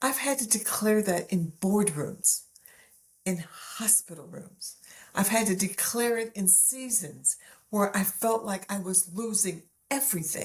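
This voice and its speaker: At a fairly slow pace, a woman speaks in a medium pitch with a somewhat breathy voice. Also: ordinary pitch variation. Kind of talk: faith-based teaching message to camera.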